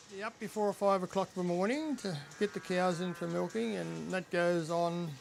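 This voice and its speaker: A man with an Australian accent, high-pitched, at a moderate pace with ordinary pitch variation and music in the background. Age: 70s. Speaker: dairy farmer. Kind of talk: interview.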